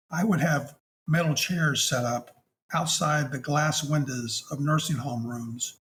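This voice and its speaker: A somewhat breathy male voice, fairly high for a man, with fairly even intonation. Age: 60s. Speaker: hospice chaplain. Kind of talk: interview storytelling. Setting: podcast interview. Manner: halting.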